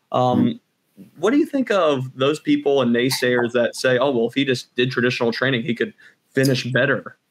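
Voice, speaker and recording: In an unremarkable speaking voice, a man talks at a fairly quick pace and medium pitch, with ordinary pitch variation and very even loudness. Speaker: podcast host, physical therapist; podcast host. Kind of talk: casual interview. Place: home room. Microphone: video call.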